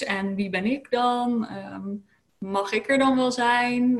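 Speaking at a fairly high pitch, a woman sounds somewhat breathy. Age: 30s. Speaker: lifestyle coach. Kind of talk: interview. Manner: hesitant, many filler sounds.

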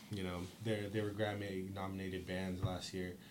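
Audible room echo surrounds a man speaking at a fairly quick pace in a Californian accent. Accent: Californian American. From Stockton, California. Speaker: punk band musician. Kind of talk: casual interview.

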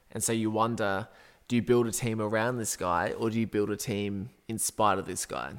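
Speaking with an Australian accent at a moderate pace, a man keeps a fairly low pitch and fairly even intonation in a very clean recording with a silent background. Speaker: football podcast co-host. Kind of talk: casual chat.

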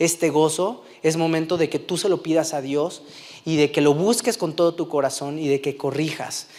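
A man's high-pitched voice at a moderate pace. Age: 30s. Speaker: preacher. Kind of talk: sermon.

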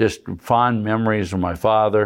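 Against a quiet background, a man with an Upper Midwest accent talks at a very slow pace. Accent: Upper Midwest American. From South Dakota, Madison. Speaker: farm equipment dealer. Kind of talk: interview. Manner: halting, many fillers.

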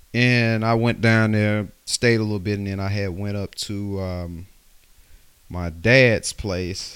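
This man speaks very slowly with a Southern US accent. His intonation stays fairly even, and the recording is very clean with a silent background. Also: fairly low pitch for a man. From West Alabama. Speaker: podcast host. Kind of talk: casual solo podcast ramble. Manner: rambling, casual.

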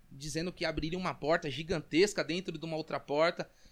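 This very clean recording of a man speaking at a moderate pace has a silent background. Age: 20s. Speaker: network marketing entrepreneur. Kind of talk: casual interview.

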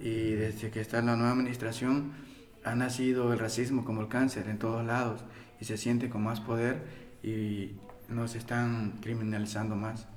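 Fairly quick, monotone delivery with flat intonation, noticeable background noise and audible room echo. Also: man, medium pitch for a man. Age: 30s. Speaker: day laborer organizer. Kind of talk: interview testimony.

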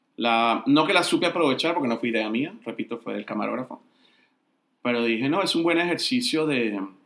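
A man speaks at a medium pitch with lively intonation. His pace is fairly quick. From Colombia. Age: 50s. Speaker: entertainment journalist and film critic. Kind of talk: interview.

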